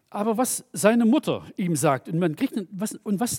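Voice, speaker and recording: This man's voice sits high and swings very widely in pitch. The sound is dry and close, with no echo. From East Germany. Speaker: preacher. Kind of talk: sermon.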